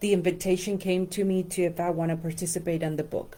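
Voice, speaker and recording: In a Spanish accent, a woman with a dark, mellow tone and fairly low pitch speaks at a moderate pace. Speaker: life coach and numerologist. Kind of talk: casual instructional talk to camera. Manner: hesitant with many fillers.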